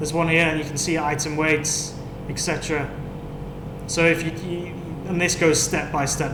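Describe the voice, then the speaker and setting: English accent with fairly even intonation, audible room echo and noticeable background noise. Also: man. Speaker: software support trainer. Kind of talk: webinar tutorial. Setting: online webinar with screen share. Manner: casual, hesitant.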